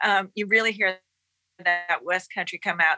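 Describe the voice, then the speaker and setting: A woman speaks at a medium pitch with music in the background. The sound is dry and close, with no echo. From United States. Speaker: podcast guest, music fan. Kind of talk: casual chat.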